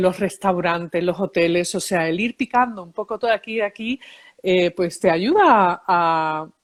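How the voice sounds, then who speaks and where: This is a woman with a medium-pitched voice. The sound is dry and close, with no echo. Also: very clean recording, silent background. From Seville, Spain and New York. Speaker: psychologist, emotions expert and author. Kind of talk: interview.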